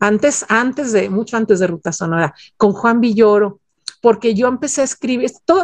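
Speaking at a moderate pace, a woman with a fairly high pitch and lively intonation has an unremarkable speaking voice. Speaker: music journalist. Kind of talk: interview.

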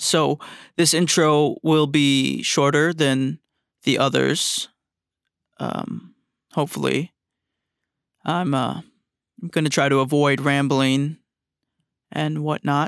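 On a very clean recording with a silent background, a man with a fairly high pitch speaks at a very slow pace, with long, frequent pauses, very even loudness and a dry, close sound with no echo. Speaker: podcast host. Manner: low energy, flat, sounds glum.

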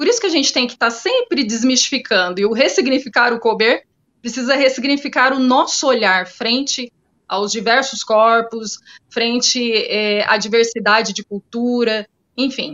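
Her pitch is high, and this woman keeps a moderate pace. Her pitch varies in an ordinary way. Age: 40s. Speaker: clinical psychologist. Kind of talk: interview.

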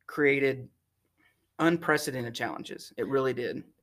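A man with a Texan accent, fairly high in pitch, at a moderate pace. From North Texas (Sherman). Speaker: fuel distribution executive. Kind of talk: interview.

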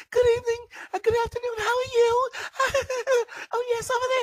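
A put-on character voice speaks at an extremely high pitch and a moderate pace. Its intonation is monotone and flat. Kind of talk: exaggerated politeness. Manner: fake, overdone.

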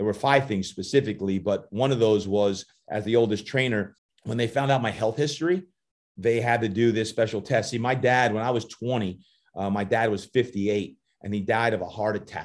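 This man has an American accent and a medium-pitched voice. He talks at a fairly quick pace with ordinary pitch variation. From New Jersey, US. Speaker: fitness coach and motivational speaker. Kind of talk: podcast interview. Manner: animated.

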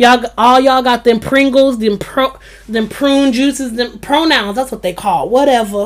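A woman talks in an animated tone at a high pitch, with ordinary pitch variation. Noticeable background noise is present. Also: moderate pace. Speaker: podcast host. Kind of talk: casual chat.

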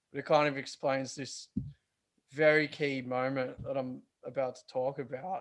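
A man with an Australian accent, fairly high-pitched for a man, at a moderate pace, in monotone, flat intonation with big swings in loudness, against a quiet background. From Australia, western Sydney. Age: 30s. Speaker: metal band guitarist. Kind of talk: casual interview chat.

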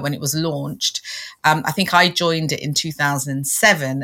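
A woman speaks with a London accent at a moderate pace. Her tone is bright and sharp. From London, England. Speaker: LinkedIn coach and podcast co-host. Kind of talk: casual interview chat.

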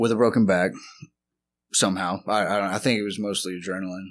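Speaking with a Texan accent, a man with a fairly low pitch is heard on a very clean recording with a silent background. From Texas, Lubbock. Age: 30s. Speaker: addict in recovery. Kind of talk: testimony. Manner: halting.

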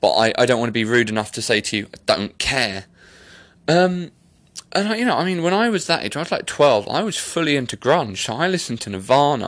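The voice swings very widely in pitch, with an animated tone. It moves at a fairly quick pace. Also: man, fairly high pitch for a man. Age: 30s. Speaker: podcast host. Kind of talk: casual monologue. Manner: rambling, animated.

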